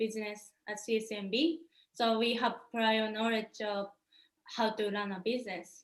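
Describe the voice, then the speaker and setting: Here a woman speaks with a Japanese accent. Her pitch is fairly high and her pace fairly slow. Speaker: startup founder. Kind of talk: startup pitch presentation.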